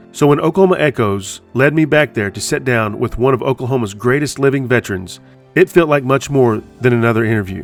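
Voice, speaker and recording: A man talks at a fairly quick pace. Music can be heard behind him. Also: medium pitch for a man, ordinary pitch variation. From Oklahoma. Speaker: podcast host. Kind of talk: documentary narration.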